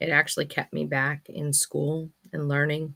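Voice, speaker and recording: A loud woman at a moderate pace, flat and monotone in intonation, with a bright, sharp tone. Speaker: affirmation card reader / vlogger host. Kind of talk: casual monologue with affirmation card readings.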